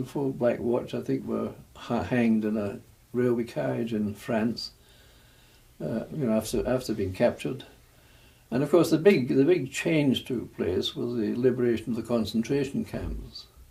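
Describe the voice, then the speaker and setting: A man speaks at medium pitch in a dark, mellow tone. Vocal fry runs through his voice. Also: ordinary pitch variation, moderate pace. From Britain. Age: 80s+. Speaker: war veteran. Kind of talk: interview answer. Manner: hesitant, with many fillers.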